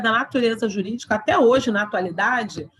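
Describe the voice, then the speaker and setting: With a fairly high pitch, a woman talks at a moderate pace in a normal speaking voice. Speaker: law lecturer. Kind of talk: lecture.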